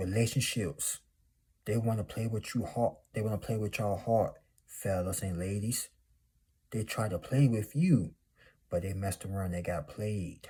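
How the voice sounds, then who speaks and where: A man speaks at a fairly low pitch with ordinary pitch variation. His voice is somewhat breathy, with a dark, mellow tone. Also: moderate pace. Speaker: motivational YouTuber. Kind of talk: motivational monologue. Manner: animated.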